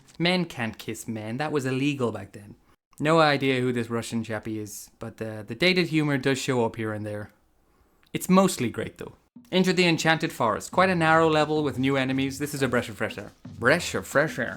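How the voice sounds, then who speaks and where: Fairly quick speech from a man with an Irish accent and big swings in loudness. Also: medium pitch for a man, lively intonation, very clean recording, silent background. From Ireland. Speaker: gaming YouTuber. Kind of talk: scripted narration over gameplay. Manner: playful.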